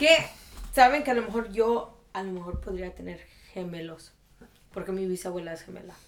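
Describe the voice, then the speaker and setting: Amid noticeable background noise and audible room echo, a woman with a medium pitch speaks with lively intonation, big swings in loudness, and long, frequent pauses. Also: moderate pace. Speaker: podcast co-host. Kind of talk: casual chat.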